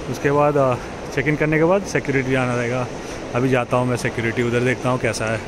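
A man speaks at a moderate pace with very even loudness and fairly even intonation. The sound is dry with no echo, though background noise is noticeable. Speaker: travel vlogger. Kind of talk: casual vlog chat. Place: hall. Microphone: phone near.

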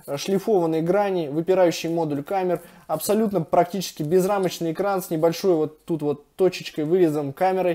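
In a quiet background, a man speaks at a high pitch with a dark, mellow tone and ordinary pitch variation. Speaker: tech reviewer. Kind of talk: casual review commentary. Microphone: phone near.

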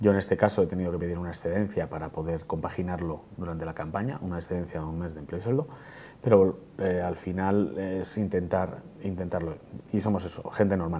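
A man's very deep, low voice with a dark, mellow tone, fairly even intonation and a fairly quick pace over light background noise. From Spain, Burgos; Spain. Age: 30s. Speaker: parliamentary candidate; candidate. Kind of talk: TV interview; interview answer. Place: studio. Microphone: lapel.

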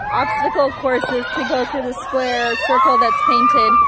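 A woman talks at a fairly slow pace with ordinary pitch variation. Crowd noise can be heard in the background. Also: dry sound with no echo. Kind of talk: casual vlog chat. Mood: upbeat, enthusiastic. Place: street. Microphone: phone near.

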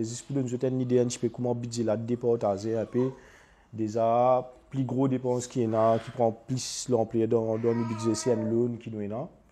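Speaking with a Mauritian accent, a man uses a medium pitch and a dark, mellow tone at a moderate pace. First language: Mauritian Creole (speaking French). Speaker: interviewee, working parent. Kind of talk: testimony.

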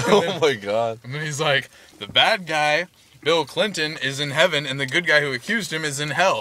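A man at a moderate pace with ordinary pitch variation, recorded with a dry sound with no echo and noticeable background noise. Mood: goofy, laughing. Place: car. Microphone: phone near.

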